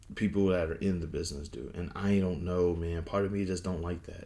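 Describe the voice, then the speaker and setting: There is audible room echo as a man with a very deep, low pitch speaks at a moderate pace. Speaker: wrestling commentator. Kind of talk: casual opinion monologue. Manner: halting, repetitive.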